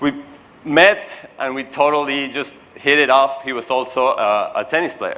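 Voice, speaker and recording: At a fairly slow pace, a man speaks in a fairly high pitch over noticeable background noise. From Mexico. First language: Spanish. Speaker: keynote speaker. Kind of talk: keynote speech. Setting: stage with audience. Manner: animated.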